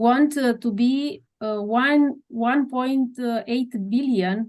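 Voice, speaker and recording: Speaking in a Romanian accent, a woman goes at a very slow pace. Her pitch is fairly high and her intonation fairly even. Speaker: doctor and researcher. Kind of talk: interview. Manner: halting, many hesitations.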